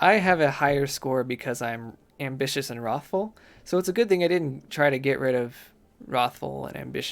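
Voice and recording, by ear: Natural-voiced reading aloud of a text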